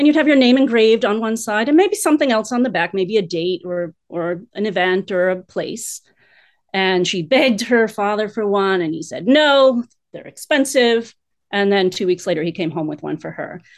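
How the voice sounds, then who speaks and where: A woman with an unremarkable speaking voice and lively intonation at a moderate pace, over a quiet background. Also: medium pitch for a woman. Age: 50s. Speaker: guest sharing personal story. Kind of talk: casual chat.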